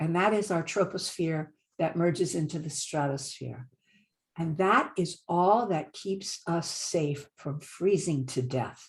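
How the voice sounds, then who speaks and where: Speaking at a fairly slow pace, a woman with a fairly low pitch sounds somewhat breathy. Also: ordinary pitch variation. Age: 70s. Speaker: climate presenter. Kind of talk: slide presentation lecture.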